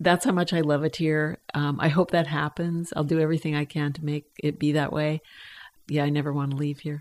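Fairly quick and monotone, a woman speaks with an American accent. Her pitch is very deep and low, and her intonation flat. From Canadian Prairies (Edmonton). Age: 70s. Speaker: drug policy advocate and bereaved mother. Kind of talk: casual interview. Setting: home basement.

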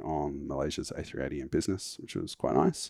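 A man's voice with vocal fry, recorded very cleanly against a silent background, the sound dry and close with no echo. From United Kingdom. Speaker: founder of a travel points website. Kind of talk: casual interview. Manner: hesitant, many fillers.

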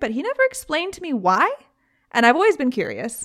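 A woman speaks with a British accent. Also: very clean recording, silent background. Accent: British, described by her as weird. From Britain. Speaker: podcast host. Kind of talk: casual storytelling, true crime podcast. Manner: casual, chatty.

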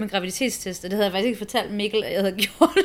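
A woman speaks in a plain, everyday voice. Her medium pitch holds fairly even intonation. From abroad, born in Copenhagen. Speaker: expectant mother. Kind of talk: interview.

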